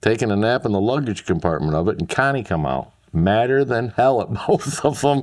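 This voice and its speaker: With an Upper Midwest accent, a man talks at a fairly quick pace with hardly any pauses, his medium-pitched voice making very wide pitch swings. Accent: Upper Midwest American. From Michigan, US Midwest. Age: 50s. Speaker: interviewee, childhood airport regular. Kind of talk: casual interview.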